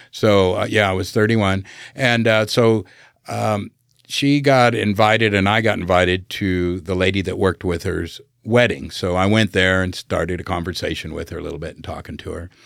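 A man with an American accent talks at a moderate pace in an ordinary speaking voice. His pitch is fairly low with ordinary variation, and the recording is very clean with a silent background. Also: big swings in loudness. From Southern California. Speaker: navy veteran and business owner. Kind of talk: casual interview. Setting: studio.

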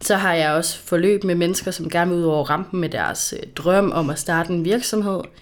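A woman speaks at a moderate pace in an ordinary speaking voice. Her pitch is fairly low, with ordinary variation. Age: 20s. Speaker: social worker and coach. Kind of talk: casual chat.

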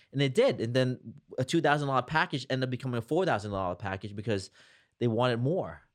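In a New Jersey accent, the speaker talks at a fairly quick pace with lively intonation against a quiet background. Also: man, medium pitch for a man. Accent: New Jersey American. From New Jersey (Jersey City). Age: 40s. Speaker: entrepreneur. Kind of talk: interview.

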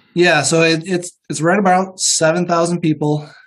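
At a moderate pace, a man with an American accent speaks in an ordinary speaking voice with a fairly high pitch. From Northwest Iowa. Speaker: dentist. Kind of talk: interview, casual conversation.

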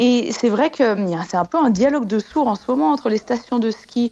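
A woman speaks at a moderate pace with fairly high pitch and ordinary pitch variation. It is an ordinary speaking voice. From Haute-Savoie, French Alps. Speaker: glaciologist. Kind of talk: radio interview.

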